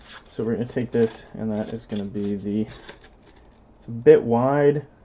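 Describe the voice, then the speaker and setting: This man has an ordinary speaking voice, with a medium pitch and ordinary pitch variation. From Canada. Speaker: miniature and terrain crafter. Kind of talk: crafting tutorial.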